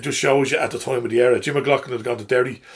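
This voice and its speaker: Speaking very fast with a Dublin accent, a man talks in a somewhat breathy, fairly high voice. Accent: Dublin Irish. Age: 50s. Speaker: football supporter. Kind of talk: casual chat. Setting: studio.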